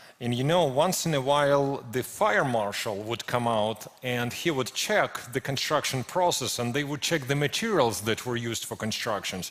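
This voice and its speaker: Over noticeable background noise, a man speaks at a medium pitch and moderate pace with lively intonation. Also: hardly any pauses. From Ukraine. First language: Ukrainian or Russian. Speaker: preacher. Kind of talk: sermon. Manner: halting, with frequent repetitions and fillers.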